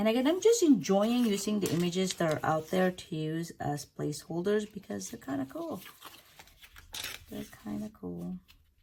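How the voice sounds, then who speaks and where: A woman talks at a moderate pace with big swings in loudness amid noticeable background noise. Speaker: YouTuber, photocard collector. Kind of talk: casual chat; unboxing tutorial. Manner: whispering.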